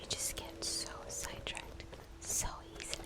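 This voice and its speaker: Over noticeable background noise, a woman whispers in a relaxed tone. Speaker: ASMR gaming streamer. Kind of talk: casual gameplay commentary. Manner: soft-spoken, relaxed.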